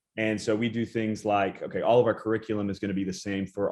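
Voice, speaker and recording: Against a quiet background, a man with an American accent uses an ordinary speaking voice, fairly low in pitch, with fairly even intonation at a fairly quick pace. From US South, Chattanooga, Tennessee. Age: 20s. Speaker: student pastor. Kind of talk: casual interview.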